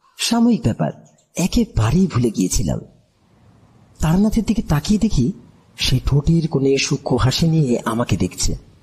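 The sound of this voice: With a husky, rough edge and a slightly mellow tone, a man with a fairly high pitch speaks at a moderate pace with big pitch swings.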